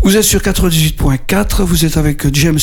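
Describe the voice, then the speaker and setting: Noticeable background noise runs through the clip. There is also audible room echo. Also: man. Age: 70s. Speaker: radio co-host living with Parkinson's. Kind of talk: radio talk show.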